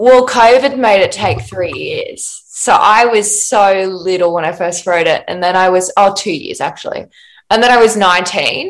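In an Australian accent, a woman of medium pitch speaks at a fairly slow pace. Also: ordinary pitch variation. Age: 20s. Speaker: actor and playwright. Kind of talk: casual interview chat.

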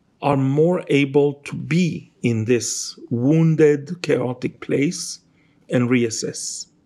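A man with an Israeli accent has a fairly high voice with a dark, mellow tone. He speaks at a very slow pace. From Israel, Jerusalem. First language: Hebrew. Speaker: novelist. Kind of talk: interview. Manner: halting.

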